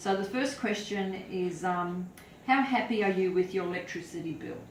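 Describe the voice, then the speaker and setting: Noticeable background noise accompanies speech at a moderate pace, its pitch varying in an ordinary way. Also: woman. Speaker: charity foundation representative. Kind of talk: interviewer questions.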